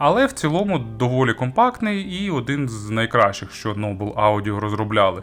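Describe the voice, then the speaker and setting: Speaking at a moderate pace with hardly any pauses, a man uses a medium pitch that moves in very wide swings. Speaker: tech reviewer. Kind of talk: product review monologue. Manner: casual, conversational.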